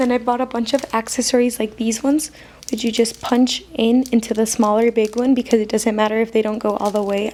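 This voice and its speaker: Monotone, flat intonation at a fairly quick pace, with a non-native accent and noticeable background noise. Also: woman, fairly high pitch for a woman. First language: not English. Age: student. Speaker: stationery haul youtuber. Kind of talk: casual product haul. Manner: hesitant, filler-heavy.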